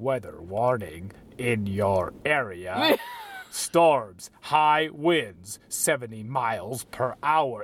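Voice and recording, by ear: This man puts on a character voice and talks very slowly. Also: medium pitch for a man.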